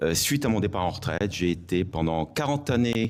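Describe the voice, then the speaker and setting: Very deep, low male speech on a very clean recording over a silent background. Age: 60s. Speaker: retired gendarmerie officer, election candidate. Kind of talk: self-introduction at public meeting. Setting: public meeting hall with audience.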